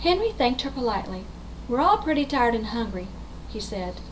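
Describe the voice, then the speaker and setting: A woman talks, and there is noticeable noise in the background. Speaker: grandmother. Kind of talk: bedtime story read-aloud for children.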